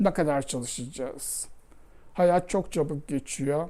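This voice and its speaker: On a very clean recording with a silent background, a woman speaks with a very deep, low pitch and a dark, mellow tone. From Istanbul, Turkey. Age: 70s. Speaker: ceramic artist. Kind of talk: interview testimony.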